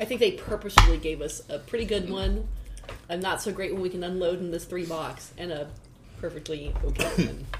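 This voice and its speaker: A woman at a fairly quick pace with fairly even intonation, over noticeable background noise. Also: fairly low pitch for a woman. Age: 50s. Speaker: podcast guest. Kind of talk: casual chat.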